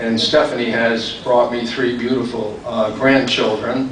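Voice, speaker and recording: A man talks at a fairly slow pace and a medium pitch, his intonation monotone and flat. Noticeable background noise and audible room echo fill the recording. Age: 70s. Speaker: hall of fame inductee, former baseball player. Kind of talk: acceptance speech. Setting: ceremony with audience.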